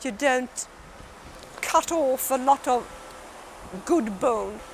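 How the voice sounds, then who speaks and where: There is noticeable background noise. Over it, a woman talks with a high pitch. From Sweden, Stockholm. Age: 60s. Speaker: patient and former Olympic fencer. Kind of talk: testimony. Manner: halting.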